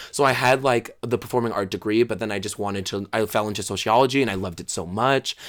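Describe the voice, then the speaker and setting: The recording is very clean, with a silent background. A man with a fairly low pitch speaks at a very fast pace in an animated tone. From Brooklyn, New York. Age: 20s. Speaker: drag queen. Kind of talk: casual chat.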